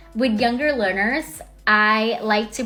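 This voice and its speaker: Speaking with an American accent, a woman talks at a fairly slow pace and a fairly high pitch. Her intonation is fairly even, and there is noticeable background noise. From Thailand, Bangkok. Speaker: English teacher. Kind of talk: self-introduction video. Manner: friendly.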